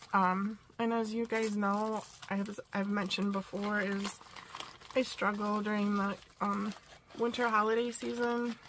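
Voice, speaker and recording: A woman talks at a fairly slow pace in a medium pitch, her intonation monotone and flat. Noticeable background noise sits behind her. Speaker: crafting vlogger. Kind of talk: casual haul vlog. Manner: hesitant, many fillers.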